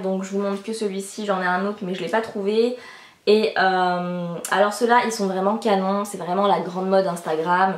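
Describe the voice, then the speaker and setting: This woman's voice sits at a medium pitch. Noticeable background noise and audible room echo surround her. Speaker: beauty and fashion youtuber. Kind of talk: casual vlog, product review. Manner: fast; animated.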